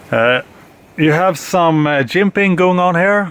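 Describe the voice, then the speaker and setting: A man talks at a very slow pace. There is noticeable background noise. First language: not English. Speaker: knife reviewer. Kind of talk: product review. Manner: halting, many fillers.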